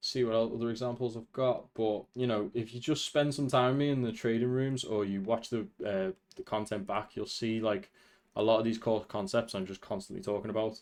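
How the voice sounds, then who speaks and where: A man's medium-pitched voice at a fairly quick pace, with ordinary pitch variation, over a quiet background. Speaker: trading educator. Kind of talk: tutorial. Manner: fast.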